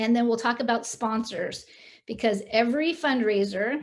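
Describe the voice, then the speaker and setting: An unremarkable speaking voice from a woman, fairly high in pitch, fairly even in intonation and moderate in pace. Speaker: fundraising consultant and guest speaker. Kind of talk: presentation to club meeting. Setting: video call.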